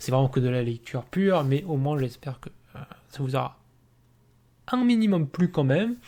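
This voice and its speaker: A man with a dark, mellow tone and fairly high pitch, at a moderate pace with long, frequent pauses. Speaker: gamebook reading youtuber. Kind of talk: reading aloud; casual chat. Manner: monotone.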